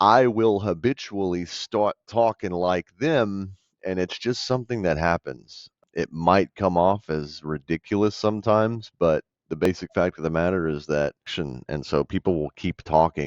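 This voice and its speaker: Recorded with a dry, close sound with no echo and a quiet background, a man with an American accent talks in a very deep, low pitch with ordinary pitch variation. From US South. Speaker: real estate wholesaler. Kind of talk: tutorial commentary; sales phone call. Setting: phone call. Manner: casual, filler-heavy.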